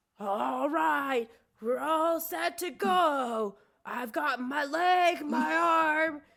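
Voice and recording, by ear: A woman's high-pitched, put-on character voice at a very slow pace.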